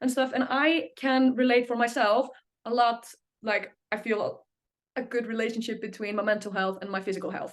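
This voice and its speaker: A woman speaks in an Icelandic accent at a high pitch. Her intonation is fairly even and her pace fairly quick. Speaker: singer. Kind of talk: interview. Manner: halting.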